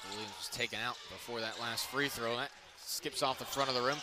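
There is noticeable background noise as a man speaks. The sound is dry, with no echo. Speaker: play-by-play commentator. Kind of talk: commentary. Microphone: headset.

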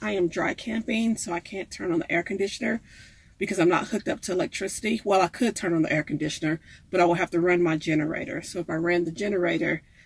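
A woman speaks at a very fast pace with ordinary pitch variation. The sound is dry, with no echo. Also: fairly low pitch for a woman. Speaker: van life vlogger. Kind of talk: casual cooking vlog chat. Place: kitchen. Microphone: phone near.

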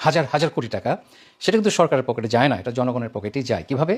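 A man's normal speaking voice at medium pitch, with lively intonation. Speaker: lawyer. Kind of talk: video statement of protest.

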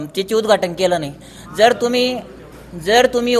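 There is noticeable background noise. A man speaks at a high pitch. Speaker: local villager. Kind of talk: street interview.

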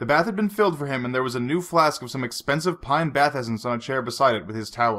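Someone reads aloud in an unforced reading voice.

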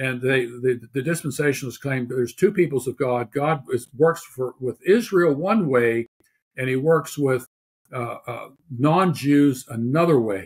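Somewhat breathy delivery at a moderate pace with ordinary pitch variation. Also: man. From Pittsburgh, Pennsylvania. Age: 70s. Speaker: theologian and author. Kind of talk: interview.

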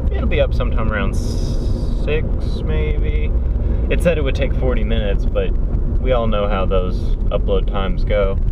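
A man speaks at a moderate pace, the sound dry with no echo. Loud background noise fills the clip. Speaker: driving vlogger. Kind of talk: casual vlog chat. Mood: relaxed, occasionally irritated. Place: car. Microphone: phone near.

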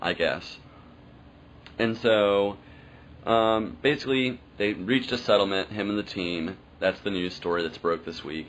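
Over light background noise, a man with an American accent speaks fairly slowly at a fairly low pitch, with ordinary pitch variation and long, frequent pauses. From US South. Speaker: podcast host. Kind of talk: casual monologue. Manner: casual, filler-heavy.

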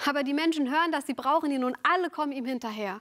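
The woman speaks in a high-pitched voice. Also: quiet background. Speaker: preacher. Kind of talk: sermon. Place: studio.

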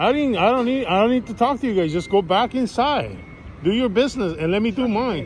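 Lively intonation from a man, with light background noise. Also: fairly quick pace. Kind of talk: heated argument. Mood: defensive, irritated. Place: street. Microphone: phone near.

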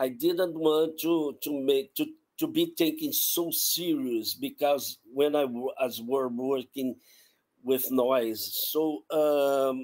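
Here a man with a Portuguese accent speaks at a very slow pace. His pitch is fairly high and his intonation fairly even. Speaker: sound artist. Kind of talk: artist presentation. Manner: halting, many repetitions. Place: home room.

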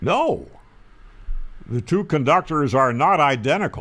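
Slowly, a man speaks at a fairly high pitch. His tone is fairly bright.

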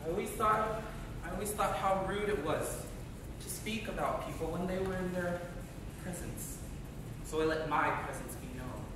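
At a moderate pace, the speaker uses fairly even intonation with long, frequent pauses, amid strong room echo and noticeable background noise. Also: man, high pitch for a man. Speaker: acting student performing a monologue. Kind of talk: dramatic monologue, theatrical narration in character of a dying man. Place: stage. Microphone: camera far.

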